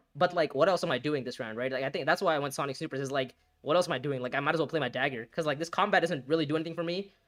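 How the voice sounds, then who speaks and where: This man has a fairly high pitch. He talks at a very fast pace. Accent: non-native. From India. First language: not English. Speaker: gaming streamer. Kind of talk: live gameplay commentary. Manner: halting, self-correcting.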